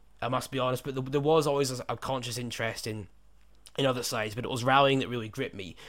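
A man talks at a very fast pace in a British accent. His medium-pitched voice has fairly even intonation, and the recording is very clean with a silent background. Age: 20s. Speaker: podcast host and company co-founder. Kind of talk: casual chat.

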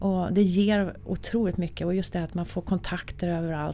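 Flat and monotone in intonation, the delivery carries a dark, mellow tone. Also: woman. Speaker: music industry executive. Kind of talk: casual interview.

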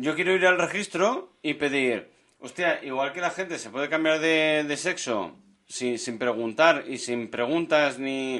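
The background is quiet as a man speaks at a fairly slow pace. His voice is fairly high, with ordinary pitch variation. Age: 40s. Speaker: podcast co-host. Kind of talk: casual chat. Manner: animated.

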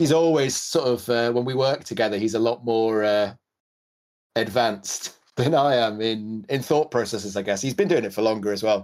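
Speaking with a Welsh accent, a man keeps a moderate pace and medium pitch with ordinary pitch variation. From Wales. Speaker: podcast host and pedal builder. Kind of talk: casual podcast chat.

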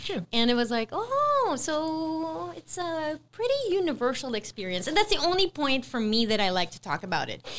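With an American accent, a woman speaks at a high pitch and a moderate pace, with very wide pitch swings and hardly any pauses. Noticeable background noise is present. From US, Utah. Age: 40s. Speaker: housewife. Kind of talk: casual chat.

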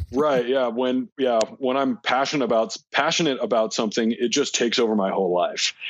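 Using a plain, everyday voice, a man at medium pitch talks at a fairly quick pace with very even loudness, ordinary pitch variation and hardly any pauses. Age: 20s. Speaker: disc golf player. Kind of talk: casual chat.

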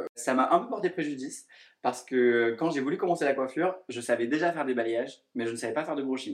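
A man speaks at a very fast pace and medium pitch with ordinary pitch variation. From southern France, near Montpellier. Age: 20s. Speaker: hairdresser and influencer. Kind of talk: casual interview.

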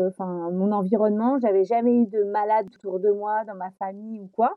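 A woman's fairly high-pitched voice, a normal speaking voice, at a moderate pace with fairly even intonation. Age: 40s. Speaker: flight attendant and amateur trail runner. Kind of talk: casual interview.

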